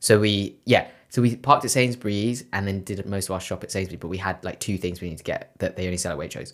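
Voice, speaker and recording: Speaking at a very fast pace with hardly any pauses, this voice has a London accent, ordinary pitch variation and big swings in loudness, on a very clean recording with a silent background. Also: man, fairly low pitch for a man. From West London. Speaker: podcast co-host. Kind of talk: casual chat.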